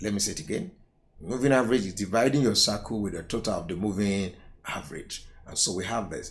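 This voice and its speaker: Speaking at a fairly quick pace, a man with a fairly low voice and vocal fry is heard against audible room echo. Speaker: accounting tutor. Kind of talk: lecture.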